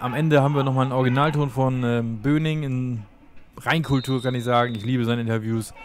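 Over noticeable background noise, an enthusiastic man talks at a medium pitch and a fairly quick pace. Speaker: sports video commentator. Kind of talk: live match commentary over highlight clips. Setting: online video voiceover. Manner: brisk, rapid-fire play-by-play with short clipped phrases; casual, enthusiastic fan tone.

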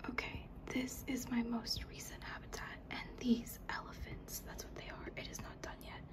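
The voice is whispering. It moves at a fairly slow pace. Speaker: ASMR creator. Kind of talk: ASMR soft-spoken video game tour. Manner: soft-spoken. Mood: gentle, amused. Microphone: phone near.

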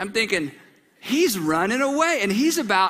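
A man's raised, projected voice with a bright, sharp tone, at a moderate pace. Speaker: pastor. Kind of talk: sermon. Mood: warm, humorous. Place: church. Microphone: headset.

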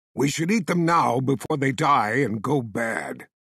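Doing a gruff put-on character voice, a man talks at medium pitch and a moderate pace with lively intonation.

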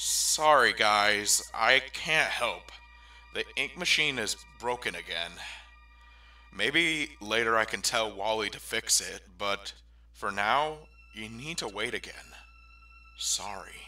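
Using a cartoonish character voice, a man speaks slowly at a fairly low pitch with a bright, sharp tone and lively intonation while faint music plays in the background.

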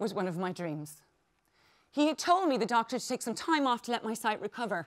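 Against a quiet background, a woman with an Irish accent talks fairly quickly in a fairly high pitch, her intonation lively. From Ireland. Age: 40s. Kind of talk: conference keynote speech. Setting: stage with audience. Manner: animated. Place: stage.

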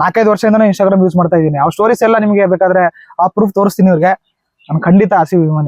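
The recording is dry and close with no echo, carrying a man's high pitch and fairly even intonation. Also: very even loudness. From North Karnataka, Kalaburagi. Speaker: social media content creator. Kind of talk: interview.

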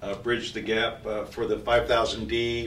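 A man at medium pitch with a fairly bright tone and fairly slow pace, plus audible room echo.

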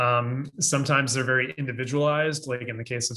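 The man's tone is bright and sharp, his pitch medium. He talks at a fairly quick pace with fairly even intonation. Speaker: associate dean, music technology teacher; music technology teacher. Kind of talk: panel discussion. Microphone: video call.

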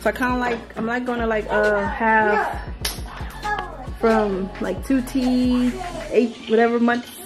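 A woman speaks at a moderate pace over clear background music. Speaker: mom vlogger. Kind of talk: casual vlog chat. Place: home room. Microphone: phone near.

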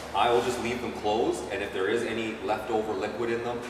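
A man speaks at a fairly quick pace. Room echo is audible, and there is noticeable background noise. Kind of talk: tutorial. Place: garage. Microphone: camera far.

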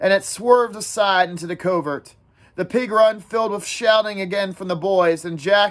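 What you hear is an unforced reading voice.

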